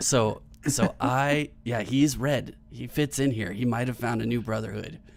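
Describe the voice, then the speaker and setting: A raspy, put-on character voice moves at a moderate pace. Its intonation stays fairly even. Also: man, medium pitch for a man. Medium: actual play. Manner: hushed, persuasive.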